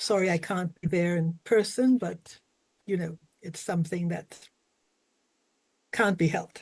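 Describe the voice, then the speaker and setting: A woman speaks fairly slowly in a fairly low, somewhat breathy voice. Long, frequent pauses break up her speech, and her pitch varies in an ordinary way. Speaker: retired diplomat. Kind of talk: panel presentation. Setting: video call.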